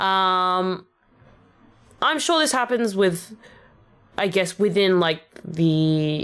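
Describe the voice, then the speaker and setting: A woman at medium pitch with lively intonation and very even loudness, at a very slow pace with long, frequent pauses. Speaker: vtuber rapper streamer. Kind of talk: casual livestream chat.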